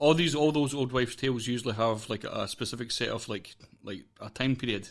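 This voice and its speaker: At a fairly quick pace, a man with a Scottish accent speaks at a medium pitch. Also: ordinary pitch variation. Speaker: podcast host. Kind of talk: casual interview.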